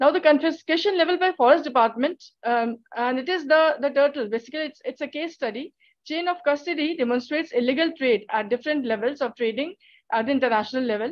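Very fast and high-pitched, a woman talks against a quiet background. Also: ordinary pitch variation. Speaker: PhD student; conference presenter. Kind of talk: conference presentation. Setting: video call. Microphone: video call.

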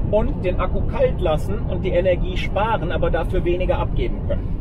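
Loud background noise surrounds a man's voice. The sound is dry, with no echo. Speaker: car vlogger driving. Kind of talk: explanatory vlog commentary. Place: car.

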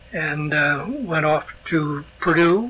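A man with an American accent and fairly high pitch, over noticeable background noise. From US Northeast (born Schenectady, New York). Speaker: retired former mayor and local historian. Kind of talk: oral history interview. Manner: halting, many fillers.

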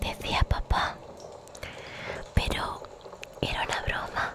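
A woman's whisper, gentle and playful, very slow and dry with no echo, over loud background noise. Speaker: ASMR storyteller. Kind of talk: soft storybook reading. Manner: gentle whisper, playful storytelling. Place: home room. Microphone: studio mic.

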